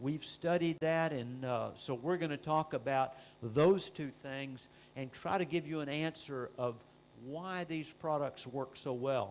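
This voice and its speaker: A man with a normal speaking voice and ordinary pitch variation. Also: fairly high pitch for a man, fairly slow pace. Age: 60s. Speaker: company scientist presenting products. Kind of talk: product presentation. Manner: frequent filler uh.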